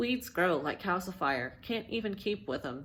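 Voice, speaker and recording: At a moderate pace, a woman speaks with vocal fry at a fairly low pitch that makes very wide swings, in a very clean recording over a silent background. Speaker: amateur reader practicing on camera. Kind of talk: reading aloud.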